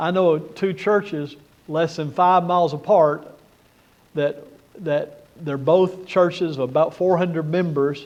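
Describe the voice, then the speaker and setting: In an unremarkable speaking voice, a man speaks at a fairly slow pace with a fairly high pitch and fairly even intonation. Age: 60s. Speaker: conference speaker on church leadership. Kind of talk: conference talk.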